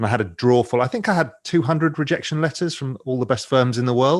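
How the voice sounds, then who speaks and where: Speaking at a very fast pace, a man uses an English accent and a medium pitch. The background is quiet. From England. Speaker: investor and financial media founder. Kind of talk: podcast interview.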